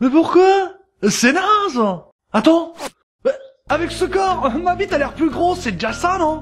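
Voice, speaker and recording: A put-on character voice, excited and whiny, at a moderate pace with long, frequent pauses and music in the background. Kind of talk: comic voice acting. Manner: excited, boastful, then whiny.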